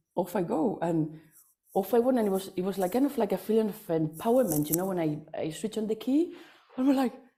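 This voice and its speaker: A woman with a non-native accent, medium pitch, lively intonation and a dark, mellow tone at a fairly quick pace. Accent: foreign accent in English. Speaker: workshop attendee. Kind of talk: testimonial. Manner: halting, many fillers and repetitions.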